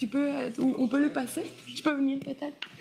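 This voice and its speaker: A woman speaks with a Quebec accent against noticeable background noise. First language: French. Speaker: moderator. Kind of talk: panel discussion. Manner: halting.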